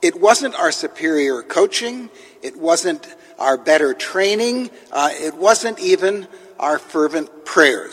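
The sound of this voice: The words come out in an unforced reading voice.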